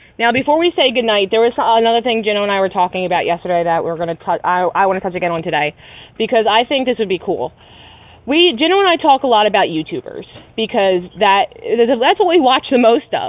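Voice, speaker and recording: In an American accent, a woman talks at a fairly quick pace. Her pitch swings very widely. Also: fairly high pitch for a woman. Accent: Philly accent, comes out only when angry. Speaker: podcast co-host. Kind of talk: casual chat.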